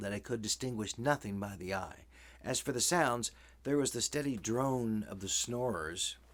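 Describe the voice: Here is plain reading aloud. The pitch varies an ordinary amount.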